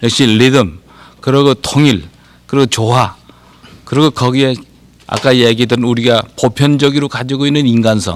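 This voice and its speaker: A man speaks at medium pitch and a moderate pace, with ordinary pitch variation. His loudness stays very even, and he takes long, frequent pauses. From Korea (Anseong, Gyeonggi). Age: 60s. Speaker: poet and professor. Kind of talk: TV talk show interview.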